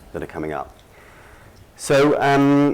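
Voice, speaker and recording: Lively intonation in a man's voice, noticeable noise in the background. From Britain. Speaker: conference speaker, lawyer and market analyst. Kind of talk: conference presentation. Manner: hesitant, many fillers.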